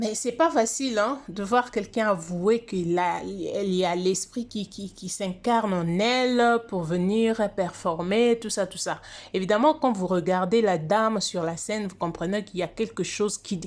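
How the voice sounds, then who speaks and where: Hardly any pauses from a woman at medium pitch, fairly slow in pace with ordinary pitch variation, on a very clean recording with a silent background. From DR Congo or Congo. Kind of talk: casual monologue on religious prophecy. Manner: halting, many hesitations.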